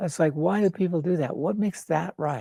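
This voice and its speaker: A man talks at a moderate pace in a high voice with a dark, mellow tone and ordinary pitch variation. The sound is dry and close with no echo, on a very clean recording with a silent background. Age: 80s+. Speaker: founder of a personal development organization. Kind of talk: casual interview chat.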